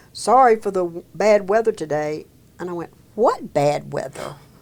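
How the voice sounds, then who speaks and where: A woman with a Mississippi accent, fairly low in pitch, at a moderate pace with ordinary pitch variation. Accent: Southern US (Mississippi). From US South, Meridian, Mississippi. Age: 70s. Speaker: senior employment program director. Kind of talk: interview.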